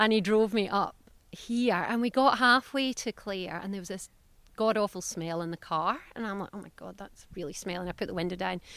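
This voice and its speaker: With a Scottish accent, a woman speaks at a fairly quick pace with ordinary pitch variation on a very clean recording with a silent background. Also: medium pitch for a woman, big swings in loudness. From south-west Scotland. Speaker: veterinarian and business owner. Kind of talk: interview. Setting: podcast. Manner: animated.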